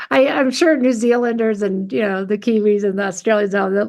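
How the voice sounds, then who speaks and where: A woman's fairly high, unremarkable speaking voice with an American accent, at a moderate pace. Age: 60s. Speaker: coach and therapist. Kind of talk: casual interview.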